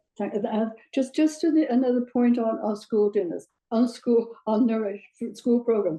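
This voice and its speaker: A woman with a British accent, dark and mellow in tone, at a fairly slow pace. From Britain. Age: 80s+. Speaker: audience member. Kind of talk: panel discussion question. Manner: halting.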